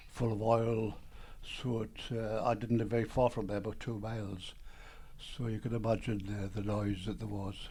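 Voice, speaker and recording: With a Geordie accent, a man speaks in a fairly low, somewhat breathy voice with a dark, mellow tone. His intonation stays monotone and flat at a moderate pace. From Newcastle, northern England (Byker). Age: 80s+. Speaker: retired businessman and composer. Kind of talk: interview storytelling. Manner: halting, with fillers.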